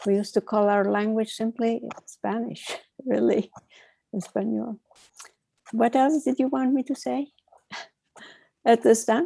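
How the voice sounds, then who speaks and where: Long, frequent pauses break up a dark, mellow voice recorded with a dry, close sound and no echo. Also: woman, fairly high pitch for a woman, ordinary pitch variation, fairly slow pace. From Turkey, Izmir. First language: Ladino. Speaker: panelist, heritage language speaker. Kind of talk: panel discussion. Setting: video call.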